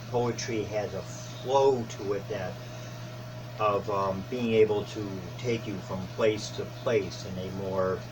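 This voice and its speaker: With a Western New York accent, a man with a fairly low pitch speaks at a very slow pace. His pitch variation is ordinary, and noticeable background noise can be heard. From Buffalo, New York. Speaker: reverend and poet. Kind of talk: interview answer.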